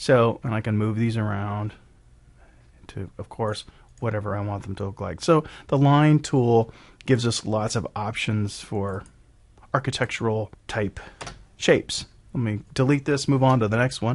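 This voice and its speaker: A man speaks with an ordinary speaking voice at a medium pitch and ordinary pitch variation. His moderate pace comes over a quiet background. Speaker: software tutorial presenter. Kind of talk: screen-recorded software tutorial. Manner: casual, with fillers and self-corrections.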